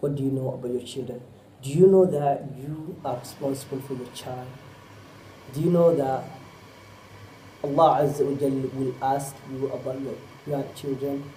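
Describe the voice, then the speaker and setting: A man with a fairly high voice and a Somali accent speaks in a flat monotone with big swings in loudness and long, frequent pauses, with audible room echo. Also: moderate pace. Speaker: Islamic preacher. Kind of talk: sermon.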